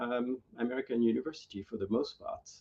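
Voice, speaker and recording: In a French accent, a man talks at a moderate pace. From France, Normandy. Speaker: veterinary professor. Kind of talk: interview. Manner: halting, many fillers.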